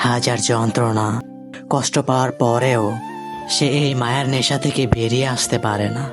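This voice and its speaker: Over music in the background, a man speaks at a medium pitch in a flat monotone. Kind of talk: emotional sad love story narration. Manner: sad, emotional.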